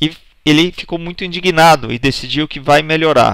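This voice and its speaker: The voice is an ordinary speaking voice with ordinary pitch variation, delivered at a moderate pace. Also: man. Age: 40s. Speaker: presentation skills instructor. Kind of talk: online course lecture.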